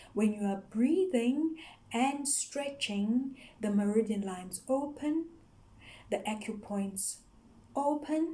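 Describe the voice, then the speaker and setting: Speech in a Zulu accent comes very slowly, with long, frequent pauses. The intonation is lively and the tone dark and mellow. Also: woman, high pitch for a woman. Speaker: yoga teacher. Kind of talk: explainer video. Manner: halting, with frequent fillers.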